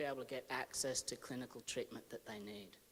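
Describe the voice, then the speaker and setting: A man with an Australian accent. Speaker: academic researcher. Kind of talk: conference lecture. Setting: conference hall with audience. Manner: measured, with filler hesitations.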